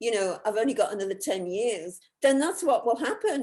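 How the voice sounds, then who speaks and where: The background is quiet as a woman speaks. Her pitch swings very widely. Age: 70s. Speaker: self-empowerment educator and author. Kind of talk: interview. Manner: halting, many repetitions.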